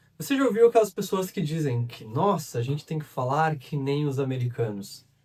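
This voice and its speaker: A man's voice with very wide pitch swings and a southern Brazilian accent. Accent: gaúcho Brazilian Portuguese. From southern Brazil, Rio Grande do Sul. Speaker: English teacher. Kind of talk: educational monologue. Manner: conversational.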